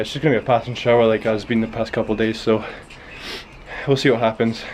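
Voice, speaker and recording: Talking very fast at a medium pitch, a man with a Scottish accent is heard over noticeable background noise. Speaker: BMX vlogger. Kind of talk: casual vlog. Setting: outdoors. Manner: halting.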